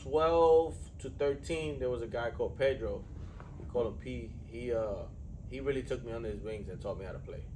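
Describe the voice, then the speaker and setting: Amid noticeable background noise and audible room echo, a man with a New York accent speaks at a moderate pace. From New York City. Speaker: strength coach and podcast host. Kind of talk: casual chat. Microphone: poor audio, mics weren't working.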